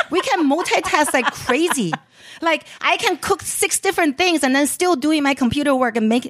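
Speaking with a Chinese accent, a woman moves at a moderate pace with very wide pitch swings. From Beijing, China. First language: Mandarin Chinese. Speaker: chef and entrepreneur. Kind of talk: casual interview chat.

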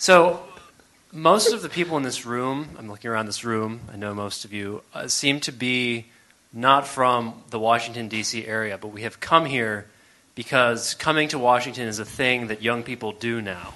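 A man's plain, everyday voice at a medium pitch and moderate pace, with ordinary pitch variation and big swings in loudness. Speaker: audience member asking question. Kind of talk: audience question. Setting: studio with live audience.

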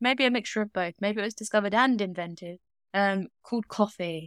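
The speaker has a British accent. The pace is fairly quick. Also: woman, dry, close sound with no echo, very clean recording, silent background. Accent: informal regional British. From Britain. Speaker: true crime podcast co-host. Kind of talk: casual chat.

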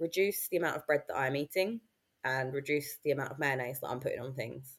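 A woman with a very deep, low voice talks at a fairly quick pace with ordinary pitch variation. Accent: southern English. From southern England. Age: 30s. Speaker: weight loss success story guest. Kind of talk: casual interview.

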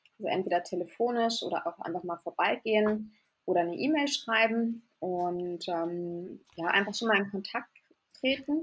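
Here is an unremarkable speaking voice with lively intonation. The pace is moderate. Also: woman, medium pitch for a woman. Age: 30s. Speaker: pastry chef. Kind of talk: podcast interview.

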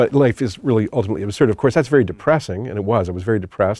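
Very fast in pace, a man speaks at a fairly low pitch with ordinary pitch variation. His tone is dark and mellow. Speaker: theology professor. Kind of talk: testimony. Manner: halting.

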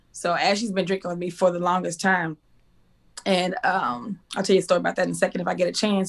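A woman with a Texas accent speaks in an energetic tone. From Texas, Waco. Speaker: school teacher and inspirational speaker. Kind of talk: casual interview.

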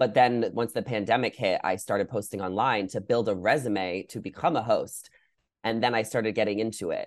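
In a normal speaking voice with an American accent, a man talks at a medium pitch. His pace is fairly quick and his intonation fairly even. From New York. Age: 20s. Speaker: content creator. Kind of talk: casual chat.

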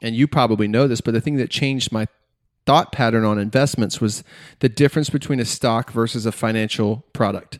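In a dry, close recording with no echo, a man with an American accent and an unremarkable speaking voice talks at a moderate pace with ordinary pitch variation. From US South (Georgia). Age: 30s. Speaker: podcaster. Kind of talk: casual chat. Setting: remote recording.

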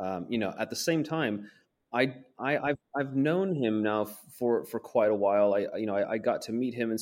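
Speaking at a medium pitch, a man talks with a West Coast accent. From Portland, Oregon, US. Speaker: foreign correspondent and author. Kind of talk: interview.

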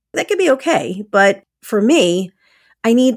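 A woman with an animated tone. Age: 50s. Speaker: podcast host. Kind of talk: casual solo monologue.

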